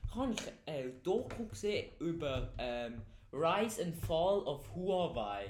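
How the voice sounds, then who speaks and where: A man's high-pitched voice with very wide pitch swings at a very slow pace, in audible room echo. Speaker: podcast co-host. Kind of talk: casual chat. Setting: basement. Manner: loud.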